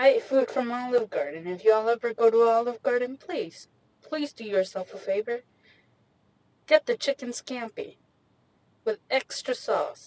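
A woman with an American accent talks at a fairly slow pace in a high voice, recorded dry and close with no echo. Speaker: podcast host. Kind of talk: casual chat. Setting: in a car. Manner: animated.

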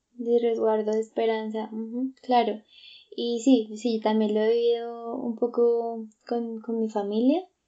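At a fairly slow pace, a woman speaks in a fairly high, dark and mellow voice with monotone, flat intonation. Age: 20s. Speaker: psychologist, podcast co-host. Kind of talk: casual chat.

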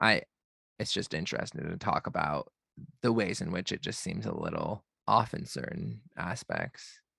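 The sound is dry and close, with no echo, while a man talks at moderate speed. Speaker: podcast host. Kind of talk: casual chat. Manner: loud.

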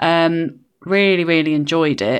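A woman's very deep, low voice with an English accent. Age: 40s. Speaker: podcast co-host, line manager. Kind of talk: casual chat. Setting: video call.

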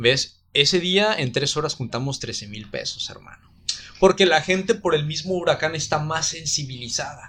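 A man speaks at a moderate pace with a Mexican accent and a fairly high pitch. His tone is bright and sharp, with big swings in loudness. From Mexico, Guadalajara. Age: 20s. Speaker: university program coordinator. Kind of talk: casual interview.

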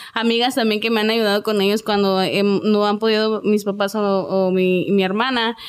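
A woman speaks at a moderate pace in a flat monotone, her loudness very even and her speech hardly broken by pauses. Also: medium pitch for a woman. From Ciudad Juárez, Chihuahua, Mexico. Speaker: singer. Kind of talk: interview.

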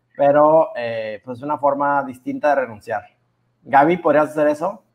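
A man's fairly high-pitched voice with a Mexican accent, at a moderate pace. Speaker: podcast co-host. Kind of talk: casual chat.

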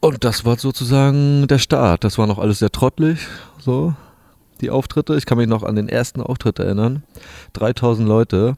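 A man speaks at a moderate pace with a medium pitch, ordinary pitch variation and a dark, mellow tone. The recording is very clean, dry and close, with a silent background and no echo. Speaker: DJ and music producer. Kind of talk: casual interview chat. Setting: hotel lobby.

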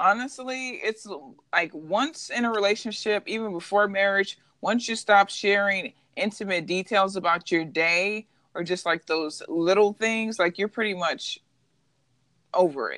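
A woman with an ordinary speaking voice at a medium pitch and moderate pace, with ordinary pitch variation. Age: 20s. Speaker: podcast co-host. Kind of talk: casual chat.

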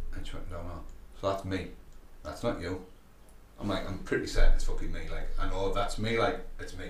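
A man with a British accent at a fairly quick pace, broken by long, frequent pauses, over noticeable background noise. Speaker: gym owner and fitness coach. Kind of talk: casual chat. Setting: gym.

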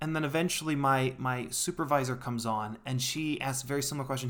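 A normal speaking voice from a man, medium in pitch, at a fairly quick pace. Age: 20s. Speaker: podcast host. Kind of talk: solo monologue podcast. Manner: casual, conversational.

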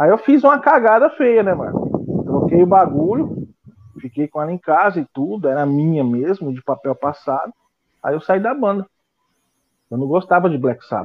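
A man with a high voice whose pitch swings very widely. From São Paulo state interior, Penápolis. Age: 40s. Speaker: drummer and NGO founder. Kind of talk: casual interview.

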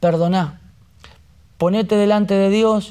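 A man with a high pitch, in a Rioplatense accent, at a fairly slow pace. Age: 40s. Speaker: pastor. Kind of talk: sermon.

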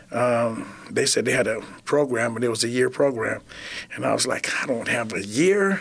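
Over noticeable background noise, a man of medium pitch speaks with lively intonation in an American accent. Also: moderate pace. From Flint, Michigan. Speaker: kitchen director at a rescue mission, former addict. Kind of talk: interview testimony.

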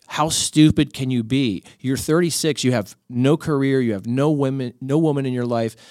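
Recorded very cleanly against a silent background, a man with an unremarkable speaking voice talks at a medium pitch and a moderate pace with ordinary pitch variation. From Miami, Florida. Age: 40s. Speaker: podcaster and author, former sports journalist. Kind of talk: casual chat.

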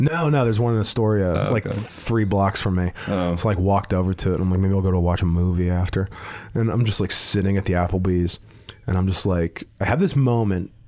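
With an American accent, a man speaks very fast at a very deep, low pitch, keeping very even loudness and ordinary pitch variation over noticeable background noise. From Pittsburgh, Pennsylvania. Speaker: stand-up comedian. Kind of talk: casual chat.

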